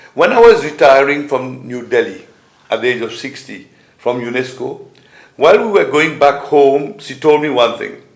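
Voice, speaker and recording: Through audible room echo, a man with a fairly high voice speaks with lively intonation. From Mauritius. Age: 70s. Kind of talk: conference speech. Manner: halting.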